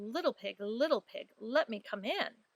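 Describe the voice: The text is read aloud plainly, with intonation that stays lively.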